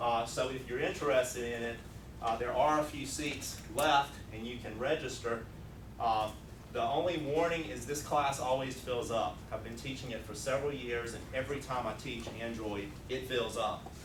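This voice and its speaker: Amid noticeable background noise and audible room echo, a man with a Southern US accent speaks at a moderate pace, medium pitch and fairly even intonation. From US South. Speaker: programming instructor. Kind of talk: technical presentation. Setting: user group meeting with audience.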